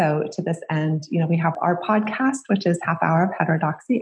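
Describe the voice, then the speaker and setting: Vocal fry runs through a woman's fairly low voice. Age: 40s. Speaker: psychology professor and nonprofit executive director. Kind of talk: interview.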